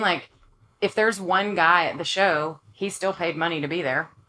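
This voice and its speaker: In a strong East Texas accent, a woman speaks at medium pitch. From East Texas (Longview). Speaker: country singer-songwriter. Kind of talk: casual interview chat. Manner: animated.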